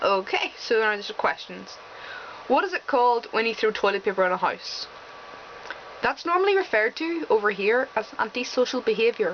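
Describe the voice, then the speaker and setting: The pace is moderate, broken by long, frequent pauses. Noticeable background noise is present. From Northern Ireland. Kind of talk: casual, conversational.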